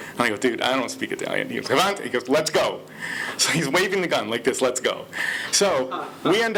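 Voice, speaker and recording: A man's intonation is lively as he talks over noticeable background noise. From Detroit, Michigan, US. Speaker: storyteller. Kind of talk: personal storytelling.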